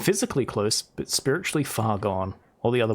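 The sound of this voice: An unforced reading voice moves with lively intonation.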